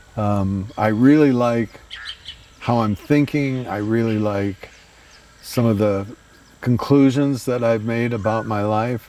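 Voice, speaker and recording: Over noticeable background noise, a man speaks very slowly at a medium pitch with fairly even intonation and long, frequent pauses. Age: 80s+. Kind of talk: interview answer. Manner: hesitant, reflective.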